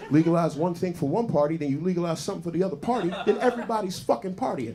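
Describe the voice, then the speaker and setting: With noticeable background noise and audible room echo, a man talks in an animated tone. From South Jersey, US. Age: 40s. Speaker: stand-up comedian. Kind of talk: stand-up. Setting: stage with audience.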